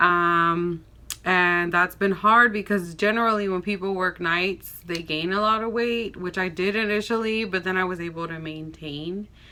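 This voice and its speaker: A woman speaks at a fairly slow pace with an American accent. Her medium-pitched voice has a bright, sharp tone and fairly even intonation. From Texas, Austin. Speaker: nurse and lifestyle vlogger. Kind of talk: casual vlog talk to camera.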